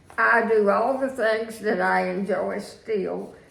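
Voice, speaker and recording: A woman speaks with a Virginia accent. Background noise is noticeable, and the room echo is audible. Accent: Southern US (Virginia). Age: 80s+. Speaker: widow sharing life story. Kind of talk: interview. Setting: home. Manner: halting.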